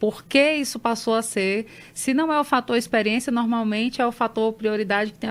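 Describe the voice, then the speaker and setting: A woman talks at a fairly quick pace in an unremarkable speaking voice with ordinary pitch variation. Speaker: geographer, environmental consultant. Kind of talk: radio interview answer.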